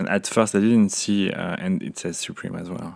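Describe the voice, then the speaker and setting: With a French accent, a man is speaking. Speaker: unboxing vlogger. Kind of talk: casual talk to camera. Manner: hesitant, relaxed. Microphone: phone near.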